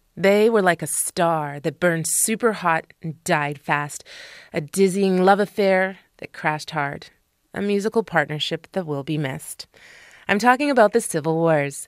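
A woman uses an ordinary speaking voice at a medium pitch and a moderate pace, with lively intonation. The recording is very clean with a silent background and a dry, close sound with no echo. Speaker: radio host. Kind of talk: radio host aircheck, music introductions. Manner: polished, upbeat, conversational.

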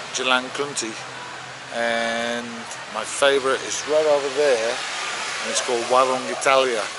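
The speaker talks at a fairly slow pace over loud background noise. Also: man, dry sound with no echo. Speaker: travel vlogger. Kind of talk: casual vlog chat. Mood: relaxed, friendly. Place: street. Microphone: phone near.

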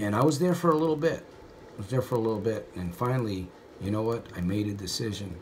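Over light background noise, a man speaks with a fairly low pitch. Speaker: motivational vlogger. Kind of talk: casual vlog storytelling. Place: bathroom. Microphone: phone near.

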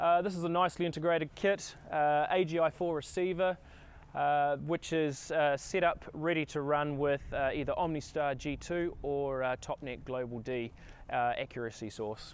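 At a moderate pace, a man speaks with ordinary pitch variation in a dry sound with no echo. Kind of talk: product walkaround presentation. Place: street.

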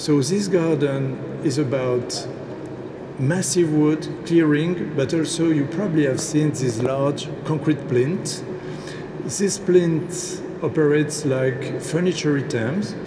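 A very slow delivery in a French accent, over noticeable background noise. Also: man. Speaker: landscape architect. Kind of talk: speech at ceremony. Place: hall. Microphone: podium.

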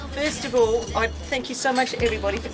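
Clear music plays in the background as a woman speaks at a moderate pace. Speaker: party host giving thanks. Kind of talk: party speech. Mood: cheerful, laughing. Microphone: camera far.

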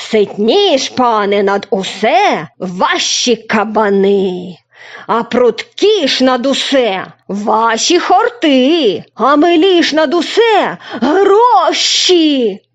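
A woman performs a put-on character voice, high in pitch with very wide pitch swings. She speaks at a very slow pace, and her loudness stays very even. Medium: read story. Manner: self-satisfied, boastful.

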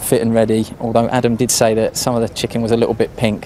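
The speech moves at a fairly quick pace over light background noise. The sound is dry, with no echo. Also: man. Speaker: lakeside reporter. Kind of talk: live commentary. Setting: outdoors. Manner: hushed. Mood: light-hearted, chatty. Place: waterside. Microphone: handheld.

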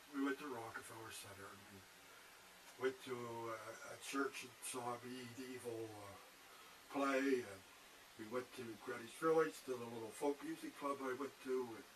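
A man speaks at a moderate pace and medium pitch, his loudness swinging widely over noticeable background noise. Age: 70s. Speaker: vlogger. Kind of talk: casual monologue. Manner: halting.

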